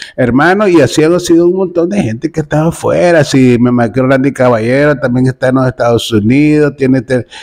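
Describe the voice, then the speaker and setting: A fairly quick pace with ordinary pitch variation against a quiet background. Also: man. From Nicaragua. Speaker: comedic commentary video host. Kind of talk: casual commentary monologue. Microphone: phone near.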